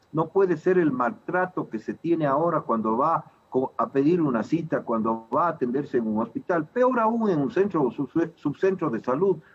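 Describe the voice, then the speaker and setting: With music in the background, a man talks at a moderate pace, his fairly high pitch making very wide swings. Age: 60s. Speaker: physician and political candidate. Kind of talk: TV interview.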